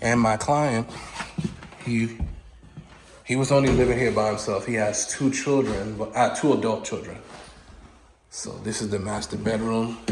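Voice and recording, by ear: A man at a fairly slow pace with fairly low pitch and fairly even intonation, long, frequent pauses, and strong room echo.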